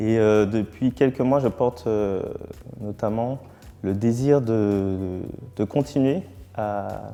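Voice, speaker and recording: With long, frequent pauses and a very slow pace, a man speaks at a fairly low pitch with ordinary pitch variation. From Martinique. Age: 30s. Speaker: newly ordained priest. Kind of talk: testimony. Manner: halting, many hesitations.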